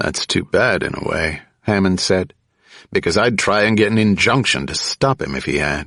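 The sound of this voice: In an unforced reading voice with ordinary pitch variation, the speaker is heard against a quiet background.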